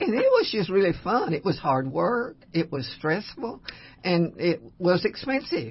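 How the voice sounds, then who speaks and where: Somewhat breathy, a woman speaks at a fairly slow pace and a fairly low pitch, with very wide pitch swings. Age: 80s+. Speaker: long-time radio host. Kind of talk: radio talk show. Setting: studio.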